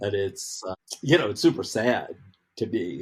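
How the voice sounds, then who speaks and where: A man with a somewhat breathy voice talks at a moderate pace, his pitch varying in an ordinary way. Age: 60s. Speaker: outdoor educator. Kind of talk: casual chat.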